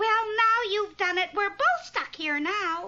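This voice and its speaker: A squeaky, cartoonish character voice speaks at a fairly slow pace. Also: female-sounding voice. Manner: sarcastic.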